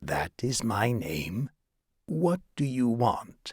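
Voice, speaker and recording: Put-on character voice from a man, husky and medium in pitch, at a very slow pace. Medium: read story. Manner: curt, defiant.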